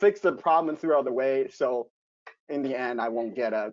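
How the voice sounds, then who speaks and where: A man is speaking. He has a non-native accent. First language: not English. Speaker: investment banker. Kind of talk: virtual group discussion. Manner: halting.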